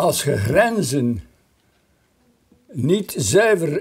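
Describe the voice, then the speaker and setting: A man's very slow speech with very wide pitch swings against a quiet background. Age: 80s+. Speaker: retired politician. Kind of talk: interview answer. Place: home room. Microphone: lapel.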